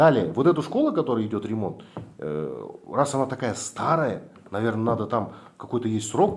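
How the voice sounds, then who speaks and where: A man with a Kazakh accent at a medium pitch, moderate pace and lively intonation. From Kazakhstan. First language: Kazakh (speaking Russian). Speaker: activist blogger. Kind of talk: confrontational meeting with officials.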